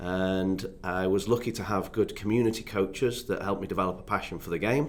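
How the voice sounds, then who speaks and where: A man with an English accent talks at a fairly quick pace and a fairly low pitch. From northern England, Doncaster near Sheffield. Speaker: youth development consultant, former academy footballer. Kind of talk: podcast interview.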